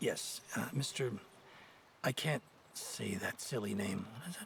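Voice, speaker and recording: A man's put-on character voice, raspy and medium-pitched, with a calm tone, a fairly slow pace and clear background noise. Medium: video game. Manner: calm, measured.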